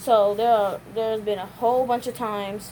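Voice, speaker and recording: A woman speaks at a fairly quick pace with monotone, flat intonation. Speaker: vlogger. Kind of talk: casual vlog monologue. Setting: at home folding laundry. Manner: fast.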